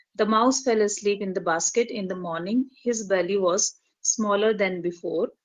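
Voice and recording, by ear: A natural voice reading aloud, ordinary pitch variation, a quiet background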